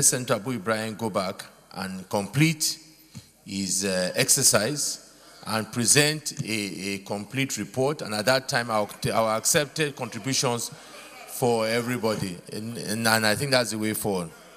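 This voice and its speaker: A man speaks at a moderate pace. Music plays in the background. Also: ordinary pitch variation. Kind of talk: formal ruling speech. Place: hall. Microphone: podium.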